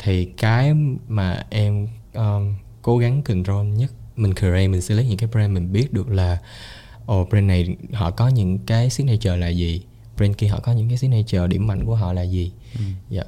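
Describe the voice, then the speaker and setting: A man's fairly low, somewhat breathy voice with a dark, mellow tone, ordinary pitch variation, and a fairly quick pace. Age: 20s. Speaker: entrepreneur. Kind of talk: casual chat.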